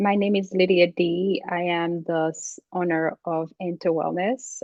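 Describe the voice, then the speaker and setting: A woman with a Haitian accent, fairly low-pitched and fairly slow, with fairly even intonation. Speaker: executive coach. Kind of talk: interview. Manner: halting.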